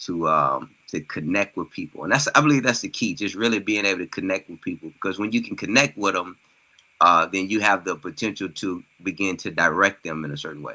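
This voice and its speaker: A man with an American accent speaks at a fairly quick pace. His voice is fairly low in pitch, with a bright, sharp tone. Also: ordinary pitch variation. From Mississippi, US South. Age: young. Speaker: healthcare professional and author. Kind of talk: interview podcast.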